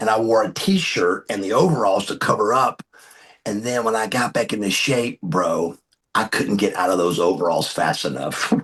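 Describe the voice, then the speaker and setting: In an American accent, a man with an ordinary speaking voice and a fairly low pitch talks at a moderate pace with lively intonation. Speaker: retired professional wrestler. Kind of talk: interview answer. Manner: casual, conversational.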